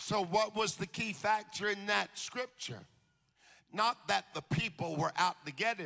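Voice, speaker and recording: With an American accent, a man uses a raised, projected voice that is high-pitched, bright and sharp, with ordinary pitch variation at a fairly slow pace. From US South, Jacksonville, Florida. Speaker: preacher. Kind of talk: sermon. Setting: stage with audience. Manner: animated.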